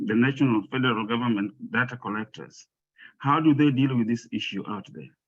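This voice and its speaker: At a moderate pace, the speaker talks with an African accent and ordinary pitch variation. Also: man. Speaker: audience member asking a question. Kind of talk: Q&A question at a public presentation. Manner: halting, with many fillers and repetitions.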